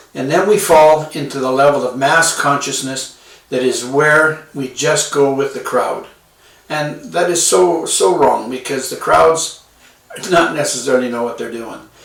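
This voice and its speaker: A man talks with ordinary pitch variation while noticeable background noise fills the recording. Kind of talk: casual self-help talk. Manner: hesitant, with fillers.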